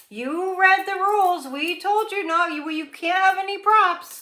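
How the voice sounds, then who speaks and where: Putting on a character voice, a woman speaks in a stern tone at an extremely high pitch. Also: moderate pace. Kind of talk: authoritative. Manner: stern, scolding.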